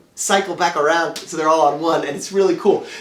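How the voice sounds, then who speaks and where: The speech comes at a very fast pace. Noticeable background noise runs behind it. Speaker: musician and songwriter. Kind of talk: casual music tutorial. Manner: fast when excited.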